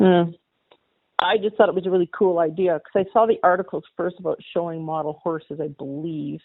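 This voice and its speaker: Here is a woman with an unremarkable speaking voice and a Canadian accent. Her fairly low pitch stays fairly even at a fairly quick pace. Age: 60s. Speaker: model horse hobbyist and artist. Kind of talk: interview.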